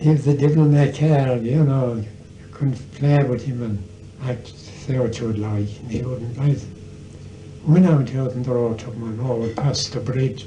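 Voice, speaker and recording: In a Tipperary accent, a man speaks at a moderate pace with medium pitch and fairly even intonation. Background noise and room echo are both audible. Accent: Irish, Tipperary. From Ireland, County Tipperary. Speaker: storyteller. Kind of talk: casual chat.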